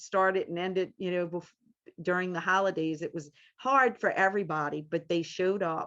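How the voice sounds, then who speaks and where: A woman with a slight New Orleans accent speaks with fairly even intonation against a quiet background. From US South, New Orleans. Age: 50s. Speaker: medium and grief group leader. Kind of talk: interview.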